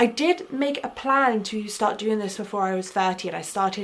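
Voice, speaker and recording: Noticeable background noise behind a woman's voice, moderate in pace and ordinary in pitch variation. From Essex, England. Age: 20s. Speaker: travel and language vlogger. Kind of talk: casual vlog monologue. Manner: rambling, filler-heavy.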